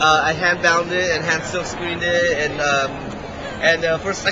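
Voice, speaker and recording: Against crowd noise and audible room echo, a man talks at a fairly quick pace. His pitch is high and his intonation monotone and flat. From immigrant to the US. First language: not English. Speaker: comics artist. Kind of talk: casual interview. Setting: convention exhibit hall. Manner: halting.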